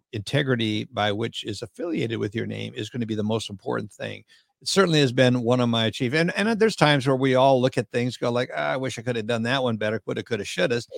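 This man's voice comes through on a very clean recording with a silent background. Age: 70s. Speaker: mortgage industry consultant. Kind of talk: casual interview chat.

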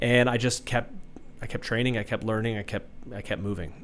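Talking at a fairly quick pace, a man has an unremarkable speaking voice at medium pitch. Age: 30s. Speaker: vertical jump coach. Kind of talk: casual chat. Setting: studio.

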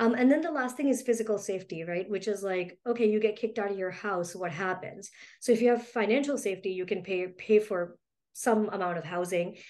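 A woman's voice of medium pitch with ordinary pitch variation. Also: fairly quick pace. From Mumbai, India; moved to US at 11. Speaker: helpline founder. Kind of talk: interview. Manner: hesitant, many fillers.

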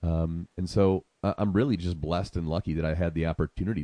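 Against a quiet background, a man with an American accent speaks at a very fast pace in a very deep, low voice with a dark, mellow tone and monotone, flat intonation. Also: dry, close sound with no echo. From Syracuse, New York. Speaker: radio station owner. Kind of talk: radio interview.

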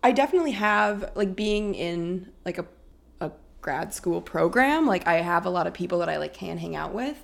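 This is a woman speaking at a moderate pace with a slight Minnesotan accent. The recording is very clean and the background silent. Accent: little Minnesotan. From Minnesota, Minneapolis. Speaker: graduate student. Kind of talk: casual chat.

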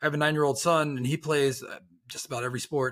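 With a plain, everyday voice, a man speaks fairly quickly, his pitch varying in an ordinary way. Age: 40s. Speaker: podcast host. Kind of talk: interview.

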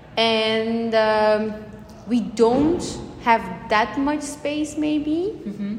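A woman speaks at a very slow pace, leaving long, frequent pauses. Audible room echo surrounds her voice. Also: ordinary pitch variation. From Belgium, Antwerp. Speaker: architecture student. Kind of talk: interview. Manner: hesitant, many fillers.

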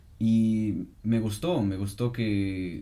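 The voice has a dark, mellow tone. Room echo can be heard. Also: man. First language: German (speaking Spanish). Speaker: podcast co-host. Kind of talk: casual chat.

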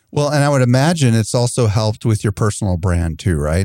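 This very clean recording has a silent background and a dry, close sound with no echo. A man talks fairly quickly in a dark, mellow tone. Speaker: podcast host. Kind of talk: podcast interview.

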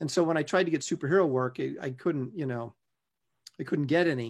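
Ordinary pitch variation in a man's fairly high voice. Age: 50s. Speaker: comic book artist. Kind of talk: casual interview.

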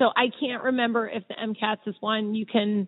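An unremarkable speaking voice from a woman with an American accent, fairly high pitch and fairly even intonation. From Philadelphia area, Pennsylvania. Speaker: plastic surgeon. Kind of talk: interview.

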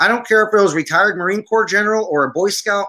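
A man in a raised, projected voice with a bright, sharp tone speaks at a fairly quick pace. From Syria, Armenian family from Aleppo. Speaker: army veteran and film producer. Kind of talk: casual interview chat.

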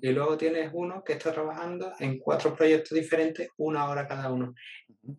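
Fairly even intonation in an Andalusian accent, at a moderate pace. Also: man. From Jerez, Andalusia, Spain. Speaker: marketing employee and stand-up comedian. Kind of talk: casual interview conversation.

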